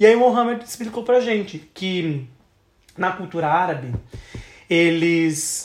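The speech unfolds at a fairly slow pace with long, frequent pauses and lively intonation. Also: man, high pitch for a man. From southern Brazil, Santa Catarina. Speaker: travel podcast co-host. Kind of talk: casual chat.

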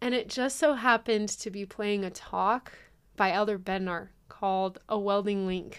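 A woman with an American accent has an unremarkable speaking voice at medium pitch and a moderate pace. Her intonation is fairly even, and the recording is very clean with a silent background. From California, Riverside County. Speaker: university graduate. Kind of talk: interview.

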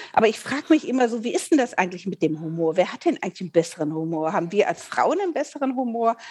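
Very fast and with hardly any pauses, a woman talks at a fairly high pitch that swings very widely. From Rhineland, Eifel region, Germany. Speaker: podcast co-host, voice actor. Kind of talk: casual chat.

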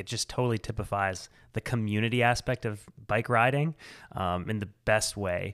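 A man with an American accent and an unremarkable speaking voice talks at a moderate pace in a fairly low pitch with fairly even intonation, recorded very cleanly against a silent background with a dry, close sound and no echo. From central Illinois, US Midwest. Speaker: filmmaker and bike party organizer. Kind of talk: casual chat.

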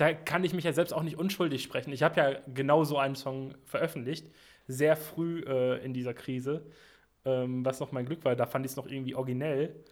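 This man has an unremarkable speaking voice. His pitch is fairly high and his intonation fairly even. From western Germany (Sauerland, Arnsberg). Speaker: musician. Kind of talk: casual chat. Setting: remote call.

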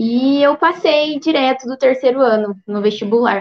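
Here a woman speaks with ordinary pitch variation. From southern Minas Gerais, Brazil. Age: 20s. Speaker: doctor. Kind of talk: career talk on a livestream. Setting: online livestream.

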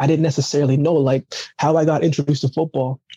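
Dark, mellow and somewhat breathy speech at a fairly quick pace, fairly even in intonation, with a dry, close sound and no echo. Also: man. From Jamaica, raised later in Canada. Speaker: Olympic athlete and motivational speaker. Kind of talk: casual interview chat. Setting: remote call.

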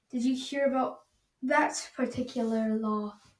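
A woman puts on a character voice at a high pitch for a woman. She talks at a moderate pace, with hissing in the sound.

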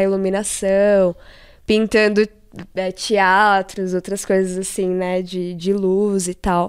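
A woman with a medium pitch is heard on a very clean recording with a silent background. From São Paulo metro area (ABC Paulista, Taboão da Serra). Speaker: illustrator and graffiti artist. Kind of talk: casual chat.

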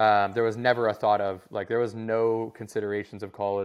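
Against a quiet background, a man with an American accent and an unremarkable speaking voice talks at a fairly quick pace with a fairly low pitch. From US Southwest (Scottsdale, Arizona). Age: 30s. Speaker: former pro hockey player, content agency founder. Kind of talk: casual interview chat.

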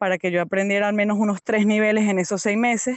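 A woman speaks at a fairly quick pace, her medium-pitched voice following a fairly even intonation. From Venezuela, Yaracuy state (San Felipe). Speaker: language teacher, emigrant. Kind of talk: interview testimony. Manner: halting, with fillers.

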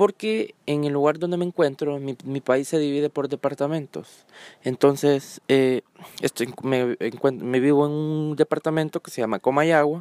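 A man with a Honduran accent speaks at a fairly slow pace and a fairly high pitch, his intonation fairly even. His loudness swings widely, and the sound is dry and close with no echo. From Honduras. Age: 20s. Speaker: podcaster. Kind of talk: solo monologue podcast. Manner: hesitant, many fillers.

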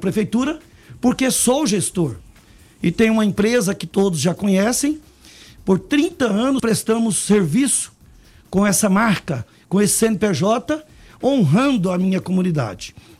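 A man's high voice with lively intonation, a fairly slow pace and long, frequent pauses, with music in the background. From Brazil, Goiás (Anápolis). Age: 60s. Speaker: mayoral candidate. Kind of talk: radio interview.

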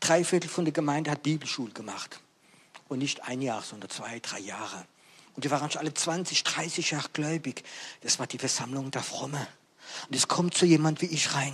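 With noticeable background noise behind him, a man of fairly high pitch and ordinary pitch variation talks at a moderate pace with long, frequent pauses. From France. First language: French (speaking German). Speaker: evangelist preacher. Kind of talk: sermon.

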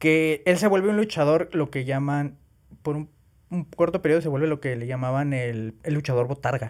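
A man's fairly high voice keeps a moderate pace and shows ordinary pitch variation. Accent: Mexican. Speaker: podcast host. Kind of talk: casual chat.

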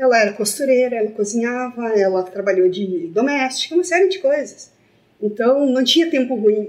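At a moderate pace, a woman with a plain, everyday voice speaks at a fairly high pitch with lively intonation. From Brazil, Santa Cruz do Sul, Rio Grande do Sul. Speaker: entrepreneur, co-founder. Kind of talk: casual chat. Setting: studio.

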